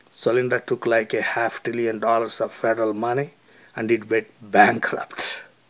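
A man talks at a moderate pace with an Indian accent. His intonation stays fairly even. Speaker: video commentator. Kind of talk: opinion commentary.

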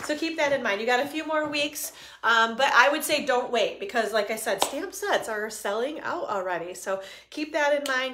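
A woman speaks in an upbeat tone at a high pitch, with ordinary pitch variation. Light background noise sits behind her. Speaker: stamping and papercraft demonstrator; papercraft demonstrator. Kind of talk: live craft demo. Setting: Facebook live stream from home studio. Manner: fast; chatty, upbeat. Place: home room. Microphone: phone near.

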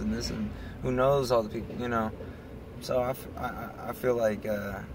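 Moderately paced male speech over noticeable background noise. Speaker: vlog co-host. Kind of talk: casual conversation. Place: car. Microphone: phone near.

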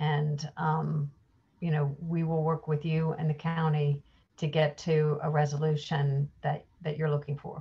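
A woman talks at a fairly slow pace in a very deep, low pitch. Her somewhat breathy voice stays monotone and flat. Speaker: state environmental official; guest. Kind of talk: presentation. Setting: video call. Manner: formal. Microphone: video call.

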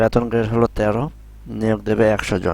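This is a man with a normal speaking voice. His pitch sits fairly low. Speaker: YouTuber explaining job circulars. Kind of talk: tutorial. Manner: casual, repetitive with filler phrases.

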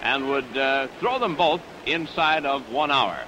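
A man's voice with noticeable background noise. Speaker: wrestling commentator. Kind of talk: live sports commentary. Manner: enthusiastic. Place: stadium. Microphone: studio mic.

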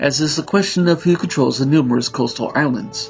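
A man talks fairly quickly, pitch varying in an ordinary way, while music plays in the background. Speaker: narrator reading a novel. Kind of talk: audiobook narration.

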